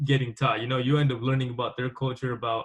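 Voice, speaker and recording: Talking at a very fast pace with an American accent, a man uses a medium-pitched, somewhat breathy voice and fairly even intonation. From Mexico, small town; US from age five. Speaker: podcast host. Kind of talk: interview.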